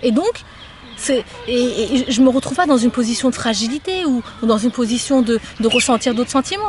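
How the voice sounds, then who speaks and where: At a moderate pace, a woman talks in a high pitch, with noticeable background noise. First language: Somali (speaking French). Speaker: interviewee sharing life experience. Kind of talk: casual interview conversation. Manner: hesitant, with frequent repetitions.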